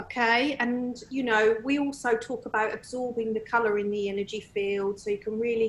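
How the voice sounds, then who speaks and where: Using monotone, flat intonation, a woman speaks at a moderate pace in a fairly high pitch. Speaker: medium and tutor. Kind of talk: interview conversation.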